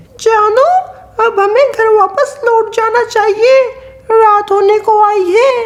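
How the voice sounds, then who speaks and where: A woman speaks in a cartoonish character voice with an extremely high pitch. Her pace is fairly slow. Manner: sweet, coaxing.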